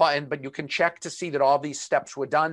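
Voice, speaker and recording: Someone talks at a very fast pace with a Boston accent over a quiet background. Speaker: webinar presenter. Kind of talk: webinar presentation. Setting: online video webinar. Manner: filler-heavy, conversational.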